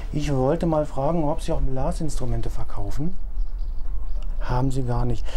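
At a moderate pace, a man speaks against light background noise. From Lower Saxony, Germany. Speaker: computer scientist, person who stutters in therapy. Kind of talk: therapy exercise, practice phone call. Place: garden.

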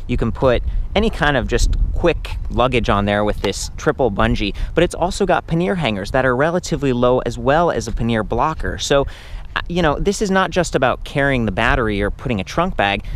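A man speaks at a fairly quick pace, his pitch swinging very widely. The sound is dry with no echo, over light background noise. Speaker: bike reviewer. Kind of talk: product review commentary. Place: open country. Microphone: phone near.

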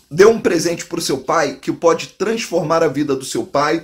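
Speech at a fairly slow pace, with music in the background. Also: man. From Brazil. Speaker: online drywall course instructor. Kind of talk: direct-to-camera sales pitch, promo. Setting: video to camera, online. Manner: warm, persuasive, friendly. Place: home room. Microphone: phone near.

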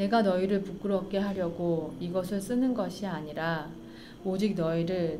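A woman's voice at a moderate pace with ordinary pitch variation, against noticeable background noise. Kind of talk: scripture reading. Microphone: studio mic.

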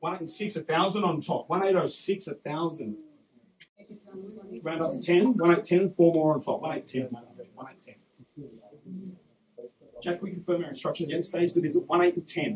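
Speaking at a fairly quick pace with an Australian accent, a man has a high pitch, ordinary pitch variation and big swings in loudness. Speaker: property auctioneer. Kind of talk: live auction calling.

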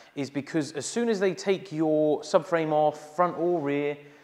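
A man talks fairly slowly, and his pitch rises and falls in an ordinary way. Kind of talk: tutorial. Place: garage.

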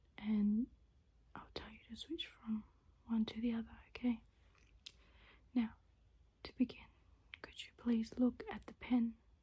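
A woman at a fairly slow pace, with long, frequent pauses. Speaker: ASMR creator. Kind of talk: ASMR soft-spoken instruction video. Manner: soft-spoken, calm, gentle. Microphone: phone near.

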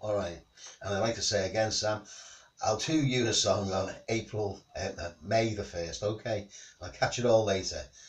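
A man's fairly low, somewhat breathy voice at a moderate pace, with ordinary pitch variation and big swings in loudness. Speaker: home singer vlogger. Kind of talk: casual vlog chat. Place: home room.

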